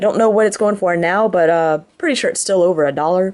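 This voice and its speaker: This woman's voice sits at a medium pitch. She varies her pitch in an ordinary way. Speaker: card trader. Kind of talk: show-and-tell video. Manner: halting, many fillers.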